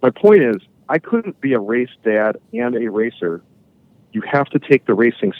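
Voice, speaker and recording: Lively intonation marks this man's medium-pitched voice at a moderate pace. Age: 40s. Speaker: motorcycle race promoter. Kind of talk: casual chat. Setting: remote recording, not in person. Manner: halting, repeats words.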